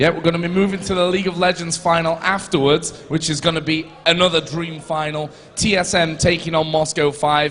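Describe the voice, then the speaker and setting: A high-pitched man speaks fairly quickly in a strong Yorkshire accent, with hardly any pauses and noticeable background noise. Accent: thick Yorkshire. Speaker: esports caster. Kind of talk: live commentary. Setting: stage with audience. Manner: animated.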